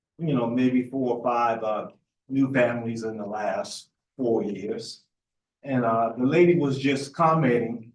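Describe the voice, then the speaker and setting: A man with a Lowcountry South Carolina accent speaks at a medium pitch and a fairly slow pace. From Charleston area, South Carolina. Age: 70s. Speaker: resident speaking at public hearing. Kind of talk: public comment at meeting.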